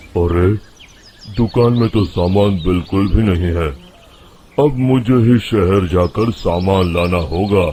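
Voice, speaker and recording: A man puts on a rumbling character voice, very deep and low in pitch, and speaks at a fairly slow pace. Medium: cartoon. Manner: grumbling.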